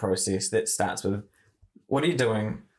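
With a New Zealand accent, a man talks at a moderate pace. His voice is somewhat breathy. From New Zealand, Far North. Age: 20s. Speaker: marketing agency founder. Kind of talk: interview.

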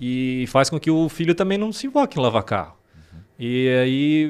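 At a moderate pace, a man with a fairly high voice swings very widely in pitch on a very clean recording with a silent background. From Santa Catarina, Brazil. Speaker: car detailing specialist and youtuber. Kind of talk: interview conversation. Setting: studio. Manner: halting.

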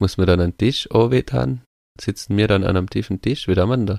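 A man with a fairly low pitch speaks at a moderate pace with ordinary pitch variation and an unremarkable speaking voice, in a dry, close sound with no echo on a very clean recording with a silent background. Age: 30s. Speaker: podcast co-host. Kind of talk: casual chat.

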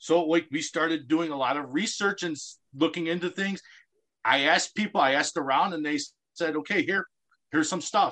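A fairly high-pitched man with an American accent and a bright, sharp tone, fairly quick but with long, frequent pauses, ordinary pitch variation, and a quiet background. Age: 40s. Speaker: special recreation coach. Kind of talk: radio interview.

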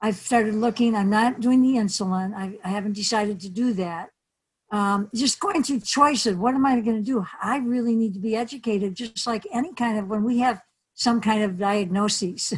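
A somewhat breathy woman with a fairly high pitch and an American accent, her pitch varying in an ordinary way. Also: moderate pace. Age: 70s. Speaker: community activist and pet owner. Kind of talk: casual interview.

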